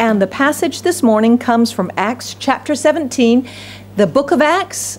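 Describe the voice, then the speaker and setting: Under light background noise, a woman talks at a moderate pace. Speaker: pastor. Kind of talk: sermon. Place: church. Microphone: podium.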